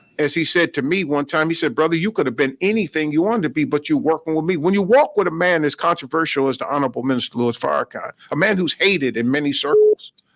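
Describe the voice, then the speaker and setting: An American accent marks this man's high-pitched voice, which moves at a fairly quick pace in a dry, close sound with no echo. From New York. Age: 60s. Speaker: minister. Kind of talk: radio interview.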